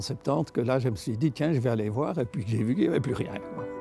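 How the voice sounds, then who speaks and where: With music playing in the background, the speaker's pitch varies in an ordinary way. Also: man. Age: 70s. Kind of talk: interview answer.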